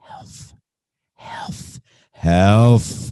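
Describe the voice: This is a put-on character voice, low in pitch and breathy. It is delivered quietly.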